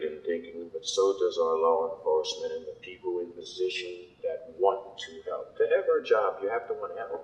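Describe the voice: At a moderate pace, a man talks with lively intonation and a slightly mellow tone.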